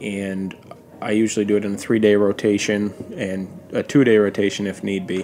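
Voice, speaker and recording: A man speaks at a fairly quick pace in a monotone, flat intonation. There is noticeable background noise. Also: fairly low pitch for a man. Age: 30s. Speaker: lobsterman. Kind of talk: casual chat.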